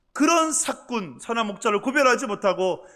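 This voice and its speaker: In a very clean recording with a silent background, a man with a Gyeongsang accent talks at a moderate pace, his extremely high-pitched voice bright and sharp in tone, with lively intonation. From Gyeongsang province, Cheongsong. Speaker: pastor. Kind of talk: sermon.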